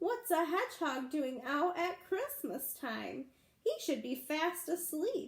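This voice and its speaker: A squeaky, put-on character voice moves at a fairly slow pace. Its pitch swings very widely. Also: woman, extremely high pitch for a woman. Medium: read story. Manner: gruff.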